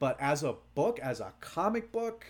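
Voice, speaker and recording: Very wide pitch swings run through this very clean recording with a silent background. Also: man. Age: 30s. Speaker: voice actor. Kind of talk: casual chat. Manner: halting.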